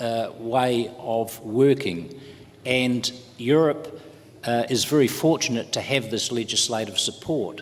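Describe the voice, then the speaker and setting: Over noticeable background noise, a man with a New Zealand accent speaks at a very slow pace with ordinary pitch variation. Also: medium pitch for a man. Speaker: trade union official. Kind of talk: conference panel talk. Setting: conference panel. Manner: hesitant, many filler words.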